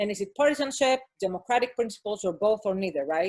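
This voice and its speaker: This is a woman speaking at a medium pitch. The recording is very clean, with a silent background. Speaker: academic panel discussant. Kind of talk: conference panel discussion. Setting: video conference. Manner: fast.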